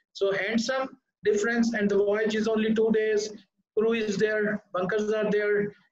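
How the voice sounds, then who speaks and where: Light background noise and audible room echo surround a man whose high pitch stays monotone and flat, with very even loudness. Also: moderate pace. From Pakistan. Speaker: ship recycling executive; panelist. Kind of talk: panel discussion. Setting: video call. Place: office. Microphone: webcam.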